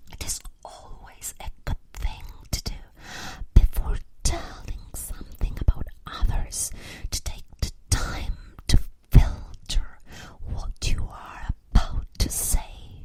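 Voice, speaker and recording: The speaker is whispering at a very slow pace. Long, frequent pauses break up the speech. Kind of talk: whispered ASMR for sleep, with story reading. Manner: whispered, soft-spoken.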